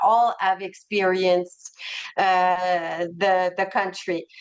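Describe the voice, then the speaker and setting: Speaking very slowly in a Quebec accent, a woman holds a medium pitch. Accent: French Canadian (Quebec). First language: French. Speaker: travel company representative. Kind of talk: sales presentation webinar.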